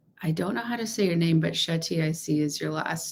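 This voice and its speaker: Over noticeable background noise, a woman with an American accent speaks with lively intonation. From Texas. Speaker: law of assumption coach. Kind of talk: livestream chat. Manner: loud.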